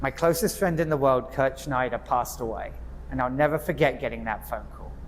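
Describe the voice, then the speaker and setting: A man talks at a fairly quick pace. He speaks with an English accent. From England, Hertfordshire. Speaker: nonprofit executive and club speaker. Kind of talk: prepared speech. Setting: club meeting with audience.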